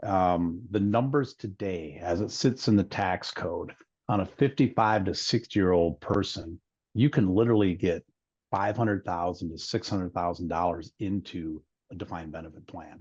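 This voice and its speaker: Against a quiet background, a man talks. His pitch is very deep and low. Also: ordinary pitch variation, moderate pace. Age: 60s. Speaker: wealth strategist. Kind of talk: webinar conversation.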